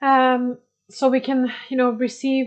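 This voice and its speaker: A woman speaks with a Swedish accent. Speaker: spiritual teacher. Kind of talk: lecture. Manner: halting.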